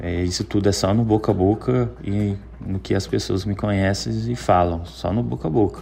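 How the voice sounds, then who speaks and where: At a moderate pace, a man speaks in a very deep, low voice with very wide pitch swings. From Belo Horizonte, Minas Gerais, Brazil. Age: 30s. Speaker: personal trainer. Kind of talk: interview. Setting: remote connection.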